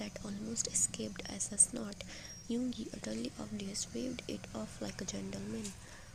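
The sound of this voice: The recording captures an unforced reading voice.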